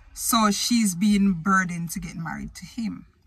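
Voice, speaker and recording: A somewhat breathy woman speaks at a fairly slow pace with ordinary pitch variation, in a dry sound with no echo. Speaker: vlogger. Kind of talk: casual vlog chat. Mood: opinionated, animated. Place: car. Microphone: phone near.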